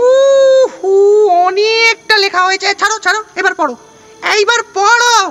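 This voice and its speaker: Over background music, a man uses a put-on character voice and speaks at a very slow pace. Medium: read story. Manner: bossy, brusque.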